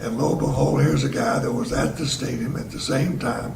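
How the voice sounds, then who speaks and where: A man with an American accent talks amid audible room echo and noticeable background noise. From Tennessee (Chattanooga), US South. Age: 80s+. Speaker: elderly local resident sharing memories. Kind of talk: storytelling reminiscence. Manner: casual with frequent hesitations.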